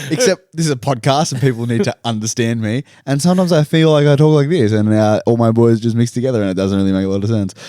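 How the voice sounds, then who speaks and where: A man mumbles at a very fast pace in an Australian accent, with hardly any pauses. His medium-pitched voice has a dark, mellow tone and lively intonation. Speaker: podcast co-host. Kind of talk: casual chat. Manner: mumbling.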